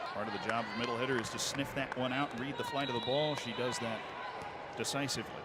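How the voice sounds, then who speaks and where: Over noticeable background noise, a man speaks very fast at a medium pitch in an excited, energetic tone. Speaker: sports play-by-play commentator. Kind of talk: live sports play-by-play.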